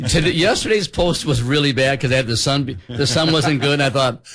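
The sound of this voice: A man's fairly bright tone at a fairly quick pace. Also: medium pitch for a man, ordinary pitch variation.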